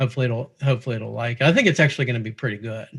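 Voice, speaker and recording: A man with a Pittsburgh accent speaks with fairly even intonation. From Pittsburgh, US. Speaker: musician. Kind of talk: casual chat.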